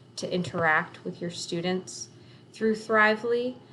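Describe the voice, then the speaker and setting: A plain, everyday voice belongs to this woman. She talks at a moderate pace with lively intonation. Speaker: teacher. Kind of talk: tutorial.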